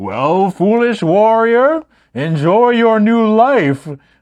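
Using a put-on character voice, a man speaks at a high pitch and a very slow pace. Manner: mocking, gloating.

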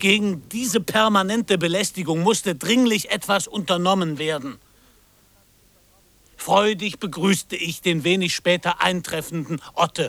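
Put-on character voice from a man, high in pitch with vocal fry, a fairly bright tone, ordinary pitch variation and a fairly slow pace

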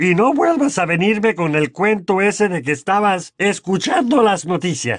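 A man's put-on character voice, high-pitched, with big pitch swings and a fairly slow pace

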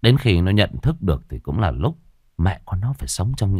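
Lively intonation in a natural reading voice

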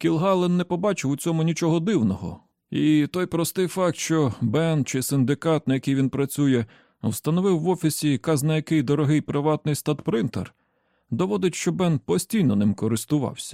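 A man speaks at a moderate pace with a fairly high pitch, a dark, mellow tone and vocal fry, on a very clean recording with a silent background. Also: ordinary pitch variation, dry, close sound with no echo.

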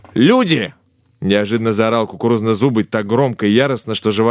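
The delivery is a natural reading voice. That holds for the whole recording.

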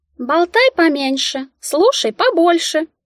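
Using a put-on character voice, a woman squeaks at an extremely high pitch and a fairly slow pace. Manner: scolding, lecturing.

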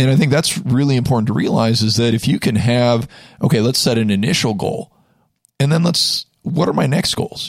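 Here is a man with an ordinary speaking voice and medium pitch. He talks at a fairly quick pace. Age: 40s. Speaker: personal trainer. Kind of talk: casual chat. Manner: many fillers.

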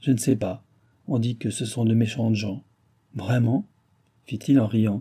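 Plain reading aloud in a fairly even intonation

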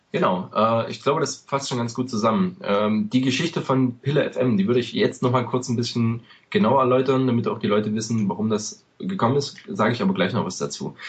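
In a normal speaking voice of medium pitch, a man talks at a fairly quick pace with lively intonation and hardly any pauses. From eastern Germany. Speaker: podcast host, American football fan. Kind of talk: casual podcast chat.

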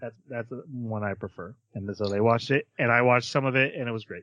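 The tone is bright and sharp. Behind it, the background stays quiet. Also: man. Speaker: podcast host. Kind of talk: casual chat.

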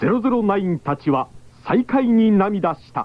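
With big pitch swings, a man talks at a moderate pace in a high voice.

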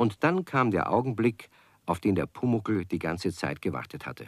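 This man speaks at a fairly slow pace in a fairly low pitch. His voice makes big pitch swings.

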